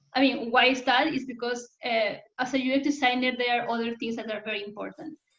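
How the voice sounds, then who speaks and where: The speech moves at a moderate pace with a Spanish accent. Its intonation stays flat and monotone. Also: woman. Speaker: UX design community host. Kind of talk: online community talk Q&A.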